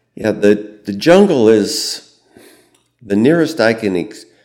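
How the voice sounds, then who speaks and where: A man speaks very slowly with a Midwestern American accent and lively intonation. The recording is very clean, with a silent background. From US Midwest, central Illinois. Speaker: war veteran. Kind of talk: interview. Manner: calm, gentle.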